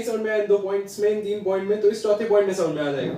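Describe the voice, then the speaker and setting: The tone is dark and mellow. Room echo can be heard. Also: man. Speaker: online teacher. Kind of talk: lecture. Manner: code-switching Hindi-English, conversational; quiet, not speaking loudly.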